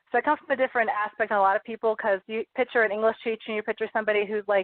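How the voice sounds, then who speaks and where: The woman's pitch is fairly high, with fairly even intonation. She speaks at a very fast pace. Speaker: high school English teacher and author. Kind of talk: radio interview.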